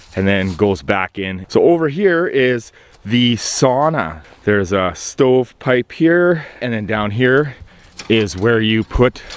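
A man's very slow speech with lively intonation, in a dry sound with no echo. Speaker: vlogger. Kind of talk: casual vlog tour. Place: open country. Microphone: phone near.

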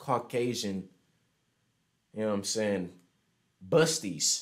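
Against a quiet background, a man with an American accent speaks at a fairly slow pace. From Houston, Texas. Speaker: online video chat streamer. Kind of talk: casual chat. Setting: video call. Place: home room.

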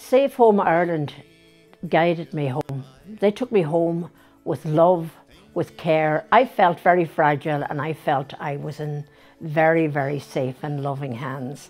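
With faint music in the background, a woman with a very deep, low pitch talks at a fairly slow pace, showing ordinary pitch variation and big swings in loudness. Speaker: interviewee. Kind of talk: interview answer. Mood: emotional, grateful. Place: home room. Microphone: lapel.

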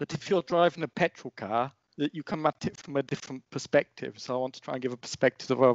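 The man's delivery moves at a fairly quick pace. His voice sounds dry with no echo over a quiet background. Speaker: EV YouTuber. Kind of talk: casual chat. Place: home room. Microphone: headset.

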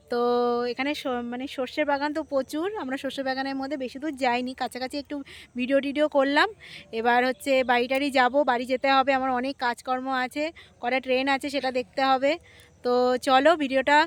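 Monotone, flat intonation marks a woman's high-pitched voice. The sound is dry and close with no echo, though noticeable background noise is present. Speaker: vlogger. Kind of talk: casual vlog narration. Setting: outdoors and train travel.

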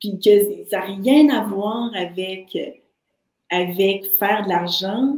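Somewhat breathy and very slow, a woman speaks with lively intonation, with audible room echo but a quiet background. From Haitian background. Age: 40s. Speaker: entrepreneur and artist; podcast guest. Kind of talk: interview. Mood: enthusiastic, encouraging. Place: home room.

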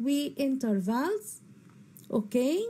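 A woman's very slow, high voice in an Egyptian accent, dark and mellow in tone, with very wide pitch swings. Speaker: English teacher. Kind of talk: lecture. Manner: repeats each word twice.

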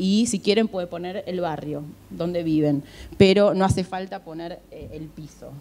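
A woman's fairly low voice in an Argentine accent, dark and mellow, fairly slow, with ordinary pitch variation. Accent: Rioplatense Argentine Spanish. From Argentina. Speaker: HR recruiter. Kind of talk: conference talk. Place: hall. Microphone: handheld.

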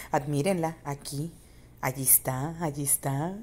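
Speaking very slowly, a woman with a Mexican accent has a very deep, low pitch and a dark, mellow tone. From Mexico, San Luis Potosí. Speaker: YouTuber. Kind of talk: video commentary. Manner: animated.

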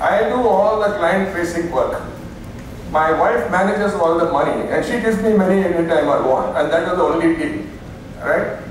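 A man with an Indian accent speaks in a high pitch. Strong room echo and light background noise surround his voice. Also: ordinary pitch variation, moderate pace. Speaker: keynote speaker and business consultant. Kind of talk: conference talk. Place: hall.

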